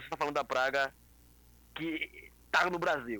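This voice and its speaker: Recorded with a dry, close sound and no echo, a man talks at a fairly quick pace with ordinary pitch variation. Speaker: liberal political activist. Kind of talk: casual chat. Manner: halting.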